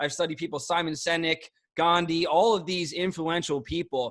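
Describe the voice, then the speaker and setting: An animated man with a Philadelphia accent, high in pitch, at a moderate pace, on a very clean recording with a silent background. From South Philadelphia, US. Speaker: network marketing trainer. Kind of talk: training call. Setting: group call.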